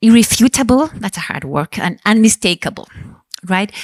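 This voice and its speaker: A woman with a Spanish accent speaks at a fairly high pitch and a moderate pace, with ordinary pitch variation. The sound is dry and close with no echo. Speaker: panel chair, mother of childhood cancer survivor. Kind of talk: panel moderation at congress.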